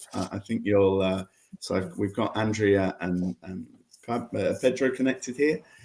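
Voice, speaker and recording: A man speaks in a fairly low pitch with ordinary pitch variation. His pace is moderate. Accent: English. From England. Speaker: investor and event host. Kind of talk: online investor matching event. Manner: halting, repetitive.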